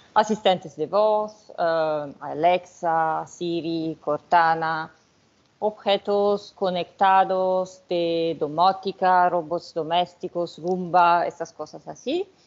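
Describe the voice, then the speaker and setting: Her pitch is fairly low. The woman talks at a very slow pace. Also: fairly even intonation. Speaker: researcher, sociologist. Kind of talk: academic lecture.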